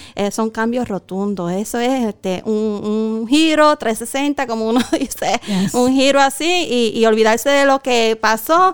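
A woman in a Puerto Rican accent, fairly high in pitch, with ordinary pitch variation, a fairly slow pace and hardly any pauses. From southwestern Puerto Rico, Guánica. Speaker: pastor. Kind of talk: testimony.

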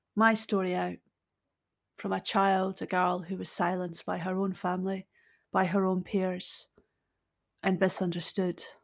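With a Scottish accent, a woman of medium pitch speaks at a moderate pace in a monotone, flat intonation, recorded very cleanly against a silent background. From Scotland. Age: 50s. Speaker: podcaster. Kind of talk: personal monologue. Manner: unscripted, reflective.

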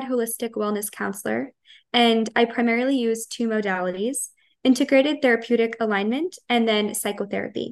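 With an American accent, a woman talks in an ordinary speaking voice at a fairly high pitch, her intonation fairly even against a quiet background. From Long Island, New York. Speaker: holistic wellness counselor and energy healer. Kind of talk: podcast interview.

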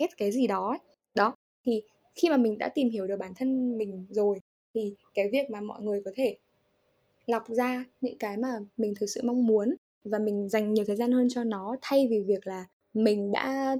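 A woman's fairly high, dark and mellow voice moves with ordinary pitch variation in a dry, close recording with no echo. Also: moderate pace. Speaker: English teacher. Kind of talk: interview. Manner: halting.

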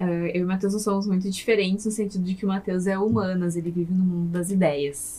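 A woman with a dark, mellow, somewhat breathy tone speaks at a fairly quick pace with fairly even intonation and hardly any pauses. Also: medium pitch for a woman. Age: 20s. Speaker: podcast guest, wife of the host. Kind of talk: casual chat.

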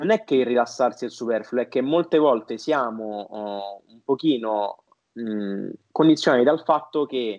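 With ordinary pitch variation, a man talks at a medium pitch in an unremarkable speaking voice. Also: fairly slow pace. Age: 20s. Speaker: marketing entrepreneur. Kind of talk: podcast interview.

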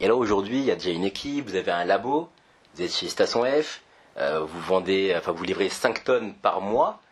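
There is noticeable background noise behind a man speaking at a moderate pace. His pitch is fairly low, and his intonation is lively. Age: 20s. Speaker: podcast host, entrepreneur. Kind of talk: casual interview. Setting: startup campus office.

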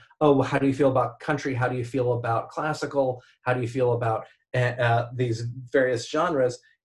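A somewhat breathy man of medium pitch speaks with an American accent and monotone, flat intonation. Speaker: event visualization artist. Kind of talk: casual chat.

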